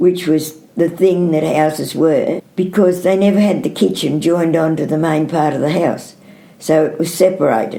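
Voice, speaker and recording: Spoken with an Australian accent at a moderate pace, the fairly even intonation comes through over noticeable background noise. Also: woman, fairly low pitch for a woman. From New South Wales South Coast, Australia. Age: 80s+. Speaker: dairy farmer. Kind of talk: oral history interview answer.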